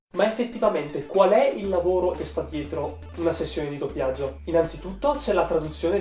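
Music plays in the background as the voice moves at a fairly quick pace. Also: man. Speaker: YouTuber. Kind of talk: casual talk to camera. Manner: not very expressive.

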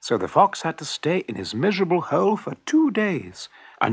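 The clip has an unforced reading voice. That voice carries every line.

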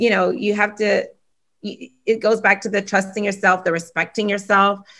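Against a quiet background, a woman speaks with a bright, sharp tone and fairly even intonation. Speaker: entrepreneur; guest. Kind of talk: casual panel discussion. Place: home room. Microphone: video call.

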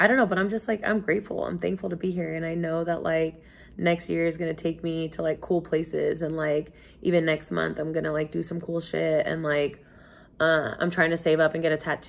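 A woman with a plain, everyday voice talks at a fairly quick pace in a fairly low register with fairly even intonation. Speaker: vlogger. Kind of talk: casual vlog chat. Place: home room.

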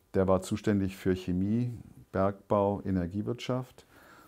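Fairly slow and fairly low, a man speaks in a dark, mellow tone against a quiet background. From West Berlin, Germany; Berlin. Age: 60s. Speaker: lawyer and former privatization executive; interviewee. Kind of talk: interview. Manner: halting, many fillers. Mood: calm, reflective. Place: home room. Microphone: lapel.

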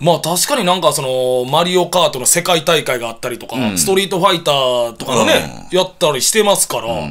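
A man talks at a very fast pace with hardly any pauses, in a fairly high pitch with lively intonation. His loudness swings a lot, and there is noticeable background noise. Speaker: comedian (mid-career). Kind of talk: casual radio banter. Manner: lively, bantering.

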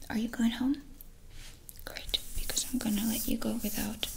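Soft-spoken, a woman talks at a moderate pace in a monotone, flat line. Her loudness stays very even over light background noise. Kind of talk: roleplay chat to viewer, ASMR-like. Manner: soft-spoken, intimate close voice. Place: home room.

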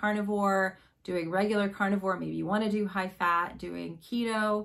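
Against a quiet backdrop, a woman speaks at a moderate speed. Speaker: diet coach vlogger. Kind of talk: casual vlog chat. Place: home room. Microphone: phone near.

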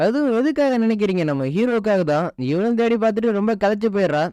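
The man's intonation is lively. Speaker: story narrator. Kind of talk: anime story explanation. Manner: casual, chatty.

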